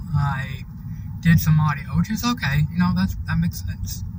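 Noticeable background noise behind a man's dry, echo-free voice. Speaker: driver vlogger. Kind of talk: casual vlog chat. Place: car. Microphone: phone near.

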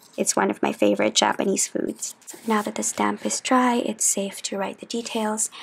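She is a woman. Her voice is soft-spoken. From Philippines. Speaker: journaling YouTuber. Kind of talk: chatty ASMR craft tutorial.

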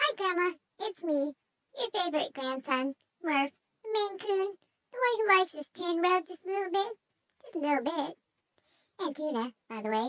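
Someone does a put-on character voice at an extremely high pitch, moving at a moderate pace with long, frequent pauses. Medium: role play. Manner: hesitant, rambling.

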